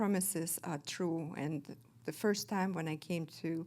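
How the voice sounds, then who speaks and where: A woman speaks with a Russian accent. Her pitch is fairly low. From Kazakhstan. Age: 50s. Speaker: recovering alcoholic sharing her story. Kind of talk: testimony. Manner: halting, many fillers.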